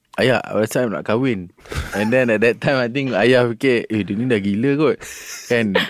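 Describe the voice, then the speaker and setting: A man's medium-pitched voice, with fairly even intonation, comes through over noticeable background noise. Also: fairly slow pace. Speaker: businessman. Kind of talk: casual interview.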